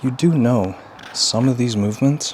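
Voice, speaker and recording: A man talks at a moderate pace with ordinary pitch variation. The room echo is audible, and background noise is noticeable. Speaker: fitness vlogger, strongman competitor. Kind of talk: casual workout vlog talk. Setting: home gym. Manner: quiet, trying not to wake child; casual, filler-heavy.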